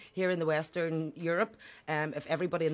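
A woman's fairly low voice with a Belfast accent, very fast pace and fairly even intonation. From Northern Ireland, west Belfast (Falls Road). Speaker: politician, party leader. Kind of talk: interview. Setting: studio.

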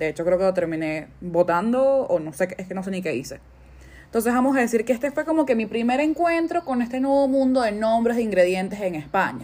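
In a Caracas accent, a woman speaks with a dark, mellow tone, her fairly high voice making very wide pitch swings. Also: fairly quick pace. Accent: Venezuelan Spanish (Caracas). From Venezuela, Caracas. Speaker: cook and podcaster. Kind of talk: casual monologue.

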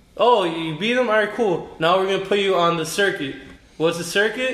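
A man at a fairly quick pace, ordinary pitch variation, and audible room echo around him. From born in New York, raised in Miami. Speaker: beer delivery entrepreneur. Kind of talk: casual chat.

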